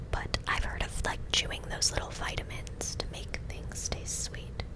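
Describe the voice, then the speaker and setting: Someone whispers at a fairly slow pace with an American accent, with noticeable background noise behind them. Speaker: ASMR creator. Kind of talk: ASMR whispered gameplay commentary. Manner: whispering; close-up.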